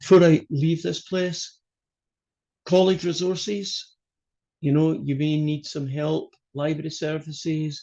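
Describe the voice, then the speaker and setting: In a Scottish accent, a man speaks with a fairly high pitch and a dark, mellow tone. His pace is fairly slow, with fairly even intonation and long, frequent pauses. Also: quiet background. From Scotland. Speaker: college math instructor. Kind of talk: online class lecture. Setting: video call.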